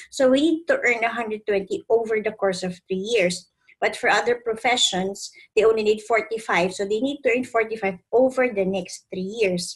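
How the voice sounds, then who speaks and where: Against a quiet background, a woman with a fairly high pitch speaks at a fairly slow pace, somewhat breathy, with ordinary pitch variation. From Philippines. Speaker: accountant and training company founder; trainer. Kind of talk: tutorial. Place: home room. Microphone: webcam.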